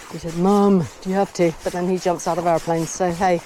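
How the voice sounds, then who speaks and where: A woman speaks at a moderate pace in a medium pitch, with noticeable background noise. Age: 60s. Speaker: vlogger. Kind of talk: casual vlog monologue. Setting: outdoors on horseback.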